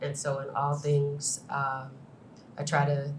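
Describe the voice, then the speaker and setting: In an American accent, a woman speaks at a very deep, low pitch with monotone, flat intonation, and audible room echo surrounds her voice. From US Midwest, Chicago far south side. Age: 50s. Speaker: finance executive, panelist. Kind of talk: panel talk.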